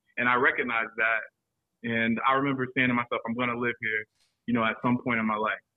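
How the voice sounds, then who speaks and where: A man with a Southern US accent speaks at a medium pitch and moderate pace in monotone, flat intonation. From South Carolina, Florence. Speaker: sommelier. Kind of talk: casual chat. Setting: studio.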